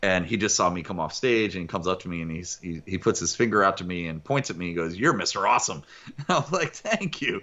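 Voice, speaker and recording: Very fast speech with ordinary pitch variation, in an American accent. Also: man. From United States. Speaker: motivational speaker. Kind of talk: podcast interview. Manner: high-energy; animated.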